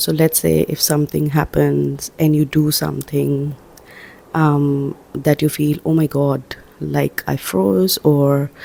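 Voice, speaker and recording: A soft-spoken voice talks at a very slow pace. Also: woman. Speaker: self-help vlogger. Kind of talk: casual inspirational talk. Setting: at home, early morning. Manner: soft-spoken, quiet; hesitant, many fillers.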